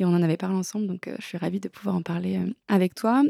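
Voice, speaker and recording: Very fast speech from a woman at medium pitch carries a dark, mellow tone in a dry, close sound with no echo. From eastern France, Lorraine. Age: 30s. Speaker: author and social media content creator. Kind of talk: casual interview.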